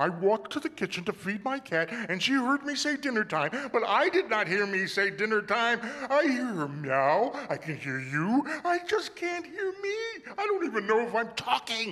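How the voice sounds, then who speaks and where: A man shouting in a raised, projected, extremely high voice with very wide pitch swings, at a moderate pace with hardly any pauses, over light background noise. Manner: loud, shouting.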